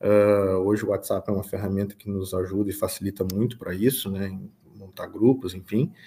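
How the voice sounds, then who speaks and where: A man speaks with a fairly low pitch and a dark, mellow tone, somewhat breathy. The recording is very clean with a silent background. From southern Brazil, Rio Grande do Sul (São Gabriel). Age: 30s. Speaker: farm manager and financial consultant. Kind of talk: interview.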